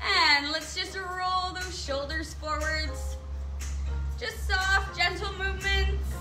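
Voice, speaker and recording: Over clear background music, a woman talks at a very slow pace. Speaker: fitness instructor. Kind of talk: workout instruction. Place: open country. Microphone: camera far.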